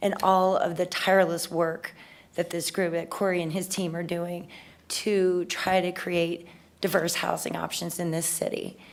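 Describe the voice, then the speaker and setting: The woman's fairly low voice stays monotone and flat. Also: moderate pace. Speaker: city council member. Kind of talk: public meeting remarks.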